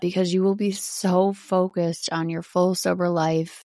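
In a very clean recording with a silent background, a woman with a slight Wisconsin accent speaks fairly slowly in a fairly low, dark, mellow voice. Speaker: podcast host, sober living. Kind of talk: casual monologue. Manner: chatty, animated.

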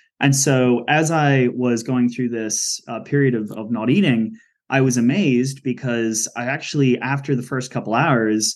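A man with a normal speaking voice, medium in pitch, at a moderate pace. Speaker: podcast host. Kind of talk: interview, casual conversation.

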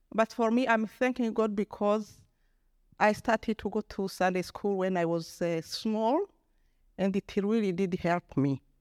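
A woman with an ordinary speaking voice at medium pitch and a fairly slow pace, ordinary pitch variation, on a very clean recording with a silent background and a dry, close sound with no echo. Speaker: congregation member. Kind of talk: testimony. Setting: church.

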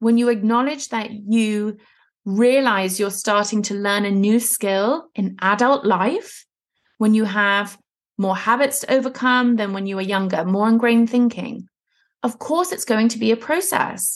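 Speaking in a normal speaking voice, a woman has a fairly high pitch. Her pace is fairly slow, with ordinary pitch variation. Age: 30s. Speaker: women's fat loss and mindset coach, podcast host. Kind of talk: solo podcast monologue, coaching talk.

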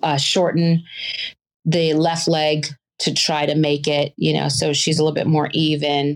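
With an American accent, a woman speaks at a fairly slow pace in a very deep, low voice with monotone, flat intonation. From US South. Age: 50s. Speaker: person living with a chronic illness. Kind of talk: interview. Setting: video call.

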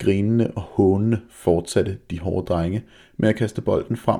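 Simply plain reading aloud

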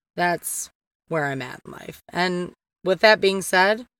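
An animated tone comes through in a Detroit accent, recorded very cleanly with a silent background. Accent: Michigan (Detroit area) American. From Downriver Detroit area, Michigan. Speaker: podcast host. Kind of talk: casual monologue.

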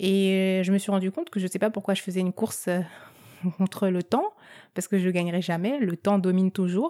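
In a very clean recording with a silent background, a woman speaks with a dark, mellow tone and a dry, close sound with no echo. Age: 30s. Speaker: podcast host. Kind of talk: casual personal monologue. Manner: hesitant, frequent filler words.

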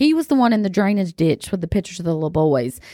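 A woman with a Southern US accent speaks at a medium pitch with very wide pitch swings and a dark, mellow tone, the sound dry and close with no echo on a very clean recording with a silent background. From US South. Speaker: podcast host. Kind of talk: casual chat. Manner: animated.

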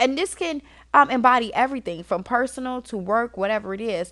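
An animated tone and lively intonation over a quiet background. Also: woman. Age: 30s. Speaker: podcast host. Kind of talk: casual monologue to listeners.

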